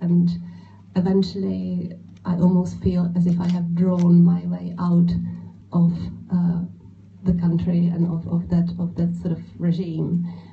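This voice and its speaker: A woman with a Czech accent speaks at a fairly slow pace with long, frequent pauses, in audible room echo. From Czech Republic. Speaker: illustrator. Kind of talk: panel talk at book event. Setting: bookshop event with audience. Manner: halting.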